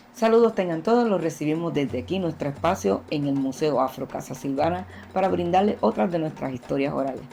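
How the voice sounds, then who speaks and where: Over music in the background, the speech moves at a fairly quick pace with hardly any pauses and very wide pitch swings. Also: woman, very deep, low pitch for a woman. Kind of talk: museum presenter introduction.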